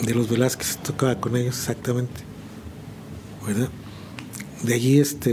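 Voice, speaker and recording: Noticeable background noise runs under a man who speaks with long, frequent pauses. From central Mexico, San Juan del Río (Querétaro); born in Chihuahua. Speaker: veteran musician. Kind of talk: interview. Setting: studio. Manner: halting.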